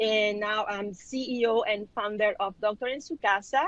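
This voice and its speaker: The speaker has a Spanish accent. The sound is dry and close, with no echo. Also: woman. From Mexico (Culiacan, Sinaloa). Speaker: physician and business owner. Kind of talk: panel discussion.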